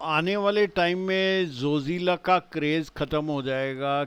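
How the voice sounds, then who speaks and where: A man's voice with fairly even intonation. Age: 60s. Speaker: travel vlogger. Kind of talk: vlog narration. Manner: casual, with filler hesitations.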